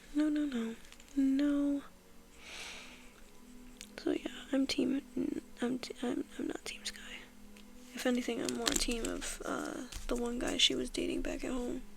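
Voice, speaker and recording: Soft-spoken and at a fairly slow pace, this voice leaves long, frequent pauses over noticeable background noise. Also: woman, high pitch for a woman, fairly even intonation. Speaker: ASMR content creator. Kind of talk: casual talk to camera while sketching, ASMR.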